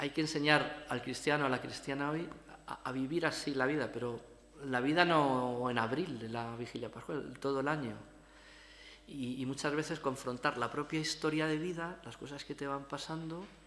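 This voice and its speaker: With audible room echo, a man uses a bright, sharp tone at a fairly high pitch and a moderate pace. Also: fairly even intonation. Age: middle-aged. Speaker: priest and lecturer. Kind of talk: lecture. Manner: halting, with many repetitions and fillers.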